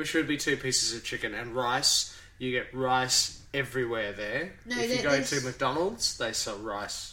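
Speaking with an Australian accent at a moderate pace, a man with a medium pitch and ordinary pitch variation leaves hardly any pauses. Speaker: podcast host. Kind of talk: casual, chatty.

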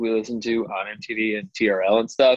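This is an unremarkable speaking voice. Its intonation is fairly even. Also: man. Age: 30s. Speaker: punk band vocalist. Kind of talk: casual interview. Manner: rambling, many fillers.

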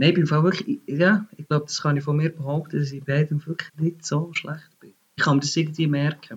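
A man with a fairly high pitch speaks in a Bernese accent. He moves at a fairly quick pace with big swings in loudness. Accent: Bernese Swiss German. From Bern, Switzerland. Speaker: music industry employee. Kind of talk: casual chat. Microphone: unstable internet connection.

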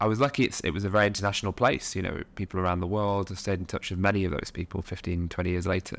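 Delivered at a very fast pace with hardly any pauses, the speech has ordinary pitch variation on a very clean recording with a silent background. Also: man, very deep, low pitch for a man. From Nottingham, England. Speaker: social enterprise founder and board member. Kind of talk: interview conversation.

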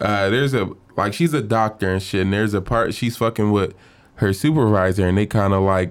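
Against a silent background on a very clean recording, a man with an ordinary speaking voice talks at a moderate pace. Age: 20s. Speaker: podcast co-host. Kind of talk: casual chat.

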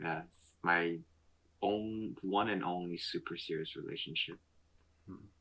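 Fairly slow speech with long, frequent pauses, fairly even intonation and a bright, sharp tone. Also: man, very deep, low pitch for a man. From Montreal, Canada. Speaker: podcast host. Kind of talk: casual chat. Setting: video call.

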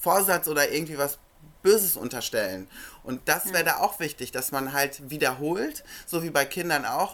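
The recording is very clean, with a silent background. Speech comes at a moderate pace. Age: 40s. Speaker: life coach and author. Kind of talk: interview. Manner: hesitant, many filler sounds.

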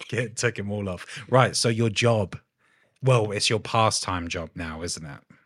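A man with a plain, everyday voice speaks at a fairly slow pace, fairly low in pitch with ordinary pitch variation. His loudness swings widely in a very clean recording with a silent background. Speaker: podcast host and tattoo artist. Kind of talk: casual interview chat. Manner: laughs often.

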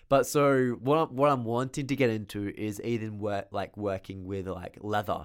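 Speaking with an Australian accent, a man uses a fairly low pitch and ordinary pitch variation at a moderate pace. He barely pauses, and the recording is very clean with a silent background. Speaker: podcast co-host. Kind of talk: casual chat.

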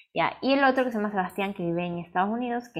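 A woman with lively intonation at a very fast pace, on a very clean recording with a silent background. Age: 20s. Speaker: podcast co-host, art student. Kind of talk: casual chat.

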